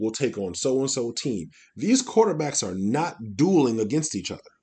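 A man's somewhat breathy voice with a dark, mellow tone and very wide pitch swings. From US Midwest. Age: 50s. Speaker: football coach and podcast host. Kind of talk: casual solo sports commentary. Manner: many filler words, hesitant.

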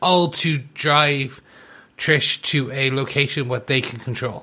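In a bright, sharp tone, a man speaks at a very slow pace and medium pitch with fairly even intonation. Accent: Irish. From Ireland. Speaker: podcast co-host. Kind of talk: casual chat.

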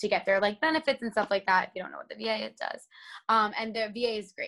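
In a very clean recording with a silent background, a woman with an American accent speaks at a medium pitch in a bright, sharp tone. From New Jersey, US. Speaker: actress and host. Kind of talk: casual interview. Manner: animated.

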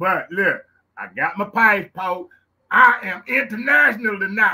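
A man's raised, projected voice, high in pitch, in a Louisiana accent. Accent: Louisiana Southern US. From Louisiana, US South. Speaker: podcast host. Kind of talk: casual show intro. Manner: animated, excited.

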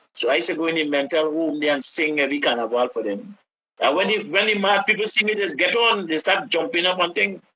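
Delivered at a very fast pace, the speech comes with a Trinidadian accent. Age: 70s. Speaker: calypso singer and songwriter. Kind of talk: casual interview. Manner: animated.

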